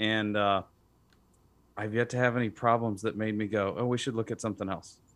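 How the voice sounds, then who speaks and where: Fairly quick and fairly low-pitched, a man with an American accent talks with fairly even intonation in an unremarkable speaking voice. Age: 30s. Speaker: home builder. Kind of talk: casual chat. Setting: studio.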